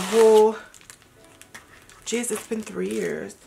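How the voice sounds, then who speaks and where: A woman with a fairly high voice talks while noticeable noise fills the background. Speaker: beauty vlogger. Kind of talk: product unboxing and review. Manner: casual, chatty.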